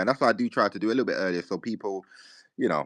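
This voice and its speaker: A man with a British accent speaks very fast in a bright, sharp tone. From UK. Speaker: crypto community space host. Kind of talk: casual chat. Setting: online audio space.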